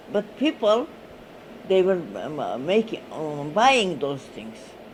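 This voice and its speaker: Against noticeable background noise, a woman speaks at a very slow pace with very wide pitch swings. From Armenian village in Turkey. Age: 80s+. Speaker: oral history interviewee. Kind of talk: oral history interview. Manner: halting, many hesitations.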